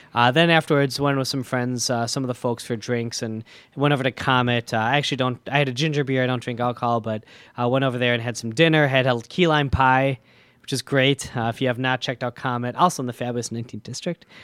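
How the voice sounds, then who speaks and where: A man with an Upper Midwest accent speaks at a very fast pace in a medium pitch with fairly even intonation. The recording is very clean with a silent background and a dry, close sound with no echo. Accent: Upper Midwest American. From US Midwest, Milwaukee, Wisconsin. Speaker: state legislator. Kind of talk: casual interview. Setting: radio studio.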